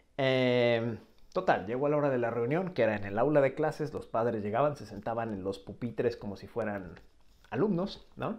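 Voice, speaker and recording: With a Mexican accent, the speaker uses lively intonation and big swings in loudness against a quiet background. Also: man, moderate pace. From Mexico. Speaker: language teacher and video creator. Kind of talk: casual vlog monologue. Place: home room. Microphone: earbuds.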